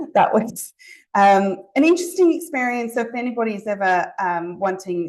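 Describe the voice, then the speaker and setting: A woman with a slight Zimbabwean accent talks at a moderate pace with lively intonation. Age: 40s. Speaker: allied health private practitioner. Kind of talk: webinar presentation. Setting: online webinar. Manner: hesitant, many fillers.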